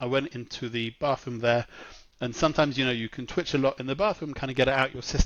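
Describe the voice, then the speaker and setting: A man with a British accent and medium pitch. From England. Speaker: marketing executive. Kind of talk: podcast interview. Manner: conversational, with fillers.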